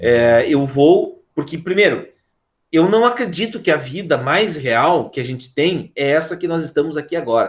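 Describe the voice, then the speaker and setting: Using a plain, everyday voice, a man speaks at a moderate pace with fairly high pitch and lively intonation. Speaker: philosophy teacher. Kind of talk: online class lecture.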